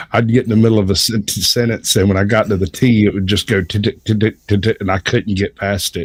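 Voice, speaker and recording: A man with a fairly low pitch talks at a fairly quick pace with fairly even intonation, recorded dry and close with no echo. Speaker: livestream panelist. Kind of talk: casual chat. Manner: almost lyrical, rhythmic phrasing.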